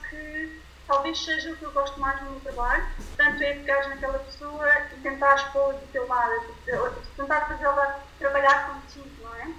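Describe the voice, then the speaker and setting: A woman speaks at a high pitch with big swings in loudness. There is noticeable background noise and audible room echo. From Portugal. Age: 20s. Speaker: nutritionist. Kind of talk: casual interview. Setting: remote call. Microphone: poor sound quality via WhatsApp, quieter.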